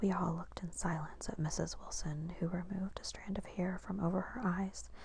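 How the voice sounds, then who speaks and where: A woman whispers at a moderate pace. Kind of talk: audiobook reading; ASMR. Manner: whispered.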